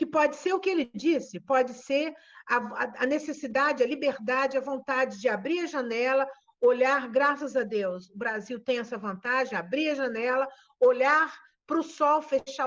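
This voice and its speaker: Her voice high in pitch with ordinary pitch variation, a woman speaks at a fairly slow pace. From Brazil, interior of Espírito Santo. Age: 60s. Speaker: nurse educator. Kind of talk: webinar talk. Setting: video call.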